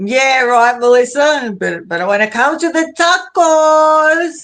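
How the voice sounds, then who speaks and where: A woman with an Australian accent speaks at a very slow pace. Her pitch is high. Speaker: live streamer. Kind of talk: casual chat. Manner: animated.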